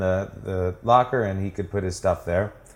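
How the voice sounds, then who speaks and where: It's a plain, everyday voice with an American accent. The intonation is fairly even. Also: man. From Washington D.C. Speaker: startup founder. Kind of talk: interview. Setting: at his apartment.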